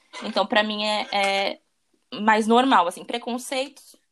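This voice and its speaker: A woman speaks in a plain, everyday voice at a fairly high pitch. The recording is very clean, with a silent background. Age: 20s. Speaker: personal trainer. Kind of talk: interview conversation.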